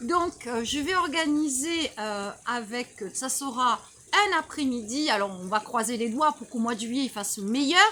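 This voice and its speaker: Loud, with a bright, sharp tone, a woman speaks at a high pitch and a fairly slow pace, her intonation lively. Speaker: well-being practitioner, channel host. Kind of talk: casual interview. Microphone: no microphone.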